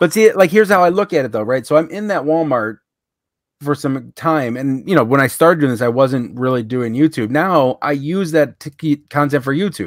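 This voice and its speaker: A man with an ordinary speaking voice, fairly high in pitch, talks with lively intonation over a very clean recording with a silent background. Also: fairly quick pace. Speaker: reseller and YouTuber. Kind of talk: casual chat.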